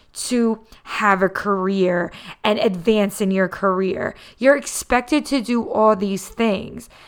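A woman's fairly high voice with a Philadelphia accent at a very slow pace, ordinary pitch variation, in a very clean recording with a silent background. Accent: Philadelphia American. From Philadelphia, US. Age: 30s. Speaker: podcast host and writer. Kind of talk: solo podcast monologue.

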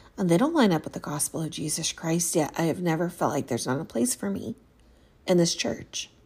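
A woman at a fairly quick pace and fairly low pitch, with lively intonation, in a very clean recording over a silent background. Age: 40s. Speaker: podcast host. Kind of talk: solo podcast monologue. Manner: hesitant, many fillers.

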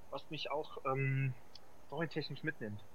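Against noticeable background noise, a man talks very slowly. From eastern/central Germany (Saxony-Anhalt, Thuringia, Hesse). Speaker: podcast co-host. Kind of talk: casual chat.

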